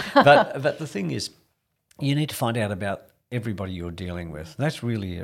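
A man with an Australian accent speaks at a fairly quick pace and fairly low pitch on a very clean recording with a silent background. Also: big swings in loudness. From Australia, rural New South Wales. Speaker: real estate executive. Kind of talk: interview.

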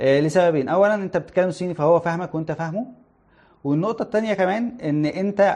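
Against a quiet background, a man speaks with an Egyptian accent. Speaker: internet company product manager, guest speaker. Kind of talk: livestream talk to students. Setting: live stream.

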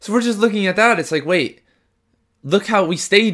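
The recording, very clean with a silent background, captures a man talking. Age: 20s. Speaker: podcast host. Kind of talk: solo podcast monologue. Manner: halting.

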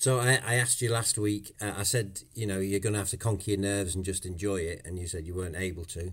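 A man rushes along at a very fast pace with hardly any pauses. His fairly low voice is somewhat breathy, and his intonation stays fairly even. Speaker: podcast host. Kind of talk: podcast chat and interview.

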